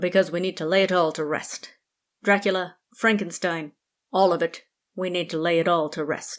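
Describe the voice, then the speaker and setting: In a put-on character voice that sounds female, the speaker uses a middle pitch and a weary tone at a moderate pace. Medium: read story. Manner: dry, weary.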